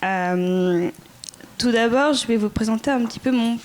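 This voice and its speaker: A woman's fairly high voice with ordinary pitch variation, set against noticeable background noise. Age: 20s. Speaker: former volunteer. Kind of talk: testimony.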